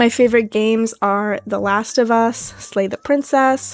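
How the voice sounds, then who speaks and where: Speaking at a moderate pace, a woman with an American accent uses a fairly high pitch and fairly even intonation. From US Midwest, Madison, Wisconsin. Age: 20s. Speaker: artist YouTuber. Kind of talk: casual Q&A voice-over. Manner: hesitant with filler ums.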